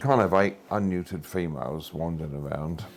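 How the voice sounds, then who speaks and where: With music in the background, a man speaks in a very deep, low pitch. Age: 80s+. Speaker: cat rescue centre owner. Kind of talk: casual interview.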